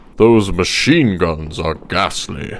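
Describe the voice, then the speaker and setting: A man puts on a cartoonish character voice. His pitch is very deep and low, with ordinary variation. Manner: exclamatory, posh.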